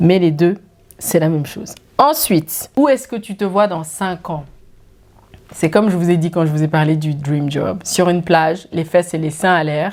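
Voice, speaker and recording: A woman speaks at a fairly slow pace in a fairly low voice with ordinary pitch variation. Her tone is animated, with big swings in loudness. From Switzerland, Geneva. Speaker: YouTuber. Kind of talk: casual Q&A vlog.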